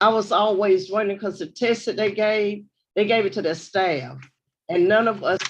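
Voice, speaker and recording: A woman with a Southern US accent and medium pitch, at a moderate pace with fairly even intonation. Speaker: board trustee. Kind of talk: board meeting comments. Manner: casual.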